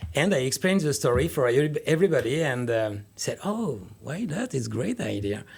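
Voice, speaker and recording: A man with a French accent talks at a moderate pace, his pitch swinging very widely. His voice is somewhat breathy. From France. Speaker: winemaker. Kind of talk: radio interview.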